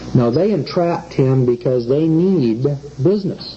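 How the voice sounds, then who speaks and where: Noticeable background noise sits behind a man who speaks with an American accent and lively intonation. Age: 40s. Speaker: common law lecturer. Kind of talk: lecture. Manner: conversational, rhetorical questions.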